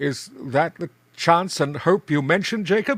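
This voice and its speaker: Someone uses a shaky, put-on character voice with lively intonation at a moderate pace. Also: man, high pitch for a man. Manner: faltering, shaky.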